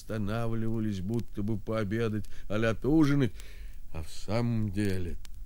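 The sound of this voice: What we hear is an unforced reading voice.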